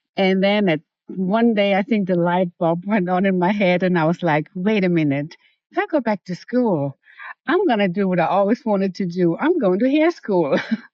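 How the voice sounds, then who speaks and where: With a German accent, a woman speaks at a moderate pace and medium pitch, using ordinary pitch variation and very even loudness. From Germany. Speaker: hairstylist and salon manager. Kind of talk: interview.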